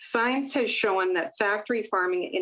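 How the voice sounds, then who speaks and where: A woman with a Canadian accent talks at a moderate pace and a medium pitch. She has a plain, everyday voice. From Manitoba, Canada (rural, Gilbert Plains). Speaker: public presenter at a legislative committee. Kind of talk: prepared public testimony. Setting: video call. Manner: formal. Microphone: iPad connection.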